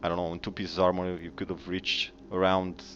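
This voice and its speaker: A man with a non-native accent speaks in a very deep, low pitch. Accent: noticeable foreign. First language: not English. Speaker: gaming YouTuber. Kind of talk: game commentary video. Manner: hesitant, many fillers.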